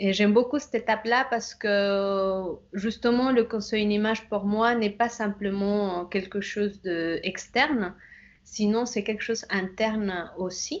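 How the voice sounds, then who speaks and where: Fairly slow, fairly even speech from a woman with a fairly high pitch. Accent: Bolivian. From Bolivia. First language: Spanish (speaking French). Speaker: image consultant. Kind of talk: interview. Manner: halting, many hesitations.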